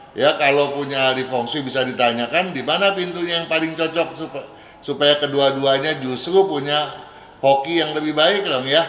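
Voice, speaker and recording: There is audible room echo and noticeable background noise as a man speaks at a fairly high pitch with fairly even intonation. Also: moderate pace. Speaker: feng shui consultant. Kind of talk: radio advice Q&A. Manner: casual, conversational.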